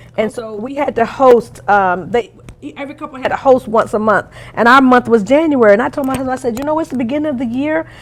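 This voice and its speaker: A woman at a very fast pace, high-pitched, with big swings in loudness. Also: ordinary pitch variation. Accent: Southern. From North Carolina. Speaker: marriage coach. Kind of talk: interview.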